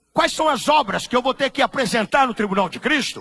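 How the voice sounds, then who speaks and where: In a raised, projected voice, a man speaks at an extremely high pitch with a bright, sharp, animated tone and very wide pitch swings. His pace is moderate, and the sound is dry and close with no echo. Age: 70s. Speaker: pastor. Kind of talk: sermon. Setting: church.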